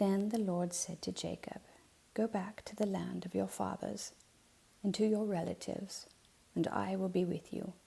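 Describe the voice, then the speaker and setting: A soft-spoken woman with a calm tone at a moderate pace. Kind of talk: soft-spoken ASMR Bible reading. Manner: soft-spoken, calm.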